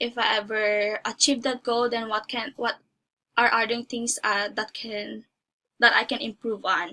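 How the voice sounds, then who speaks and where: Speaking at a moderate pace, a woman has a Filipino accent. Her tone is bright and sharp, and her pitch fairly high. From Philippines. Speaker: job applicant. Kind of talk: mock job interview. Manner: halting.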